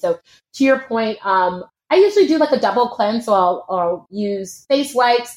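Ordinary pitch variation and a moderate pace mark this woman's unremarkable speaking voice. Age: 30s. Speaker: fitness instructor. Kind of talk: casual chat.

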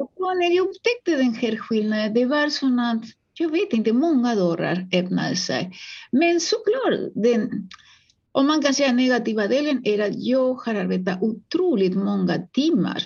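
A woman's high-pitched voice with a Spanish accent, fairly slow, very even in loudness, with very wide pitch swings. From Uruguay. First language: Spanish (speaking Swedish). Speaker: psychologist and author. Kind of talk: interview.

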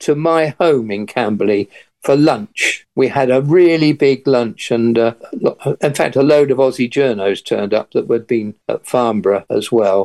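A man with an English accent speaks at a fairly slow pace in a medium pitch. The sound is dry and close, with no echo. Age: 80s. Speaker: retired airline pilot. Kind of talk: interview recounting past events. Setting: radio interview.

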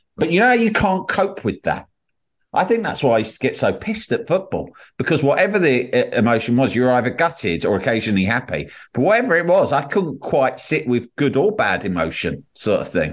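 With an English accent and some vocal fry, the voice swings very widely in pitch at a fairly quick pace against a quiet background. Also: man, fairly high pitch for a man. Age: 40s. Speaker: podcast host. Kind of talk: casual chat.

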